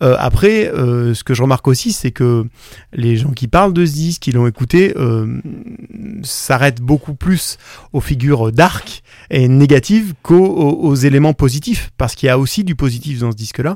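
Speaking at a moderate pace, a man uses lively intonation in a fairly high voice. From France, Drôme (Valence). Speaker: singer-songwriter. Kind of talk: interview. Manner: halting, many repetitions and hesitations.

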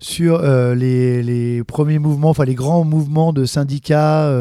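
At a very slow pace, a man with a fairly high pitch and a dark, mellow tone speaks with ordinary pitch variation, in a dry, close sound with no echo. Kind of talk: interview, casual talk. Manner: hesitant, halting, repeats words.

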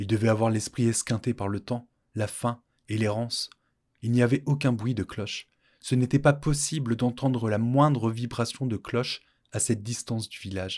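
A man with a medium pitch and a warm, dramatic tone speaks with fairly even intonation, the sound dry and close with no echo. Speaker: podcast storyteller. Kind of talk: scripted narration of a folk tale. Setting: studio. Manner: formal, literary, with dramatic pauses.

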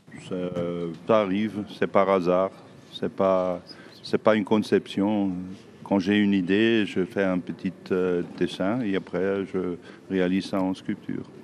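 A man with a German accent speaks at a very slow pace in a very deep, low voice, his intonation monotone and flat, with long, frequent pauses. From southern Germany. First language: German (speaking French). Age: 60s. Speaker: sculptor. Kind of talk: interview. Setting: workshop. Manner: halting.

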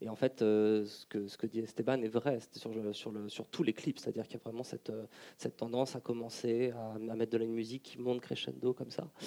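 A dark, mellow tone delivers a monotone, flat intonation at a fairly quick pace, with a dry, close sound and no echo. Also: man, medium pitch for a man. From France, Lyon. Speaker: political science researcher. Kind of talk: panel discussion. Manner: halting.

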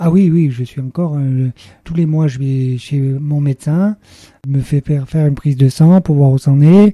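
Somewhat breathy and fairly high for a man, his voice moves at a fairly slow pace with fairly even intonation. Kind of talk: radio interview testimony. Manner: halting, many hesitations.

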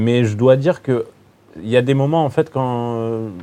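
A man's voice has a dark, mellow tone. He speaks at a fairly slow pace. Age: 30s. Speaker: film fan guest. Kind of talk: casual panel discussion. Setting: filmed panel in a cinema.

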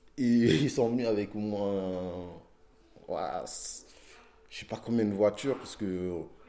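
Long, frequent pauses break up speech delivered at a very slow pace, with big swings in loudness. The tone is dark and mellow, and the intonation fairly even. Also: man, fairly low pitch for a man. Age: 20s. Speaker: rapper. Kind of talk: casual street interview. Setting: outdoors in the street.

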